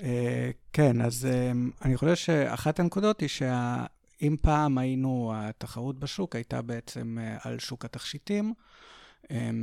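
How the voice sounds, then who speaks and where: This man's voice is captured dry and close, without any echo. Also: very clean recording, silent background. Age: 30s. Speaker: marketing executive and business co-owner. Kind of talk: interview. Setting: at home.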